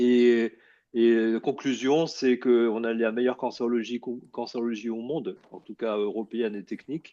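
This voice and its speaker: Delivered at a moderate pace, the speech has fairly even intonation but big swings in loudness. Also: man, medium pitch for a man. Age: 60s. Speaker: oncologist. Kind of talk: lecture. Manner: halting.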